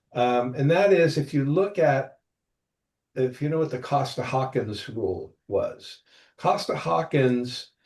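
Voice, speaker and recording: Speaking at a fairly slow pace, a man uses a fairly high, somewhat breathy voice with lively intonation. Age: 60s. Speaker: property management veteran. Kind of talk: podcast interview. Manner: animated, with hesitations.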